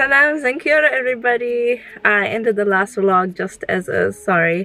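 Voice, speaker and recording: This woman's voice sits at a high pitch. The sound is dry, with no echo. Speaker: vlogger. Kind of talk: casual vlog chat. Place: car. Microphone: phone near.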